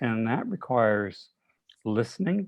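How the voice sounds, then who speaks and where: Over a quiet background, a medium-pitched man talks at a very slow pace. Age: 60s. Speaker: therapist asking a question. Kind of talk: Q&A question in webinar.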